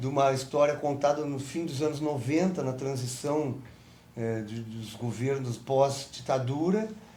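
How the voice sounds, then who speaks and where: A man speaks fairly slowly in a dark, mellow, somewhat breathy voice of fairly high pitch. There is audible room echo. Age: 60s. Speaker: film director and actor. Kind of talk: interview.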